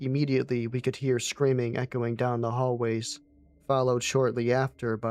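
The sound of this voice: An unforced reading voice is heard throughout the clip.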